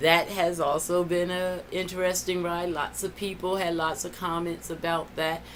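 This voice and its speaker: Against noticeable background noise, a woman with a fairly low pitch speaks at a moderate pace. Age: 60s. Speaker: vlogger and counselor. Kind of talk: casual video diary. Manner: conversational with frequent fillers.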